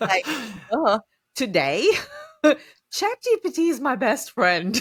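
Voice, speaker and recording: In a dry, close sound with no echo, a woman speaks at a very slow pace in a high pitch with very wide pitch swings. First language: not English. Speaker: podcast host, small business owner. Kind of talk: casual podcast conversation.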